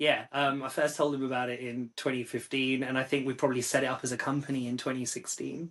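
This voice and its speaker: In a London accent, a man of medium pitch speaks at a fairly quick pace in a monotone, flat intonation over a quiet background. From London, England. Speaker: psychiatrist and music review site founder. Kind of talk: podcast interview.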